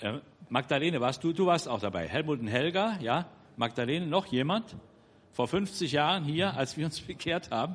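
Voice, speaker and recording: A man speaks in an ordinary speaking voice at a moderate pace, his intonation lively. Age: 60s. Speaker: church member, twin brother of the preacher. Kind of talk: church announcement.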